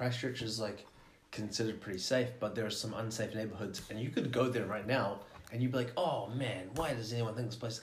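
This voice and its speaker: Talking at a fairly quick pace, a man uses a medium pitch and fairly even intonation. His voice is somewhat breathy, and room echo can be heard. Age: 20s. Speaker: podcast guest. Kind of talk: casual chat.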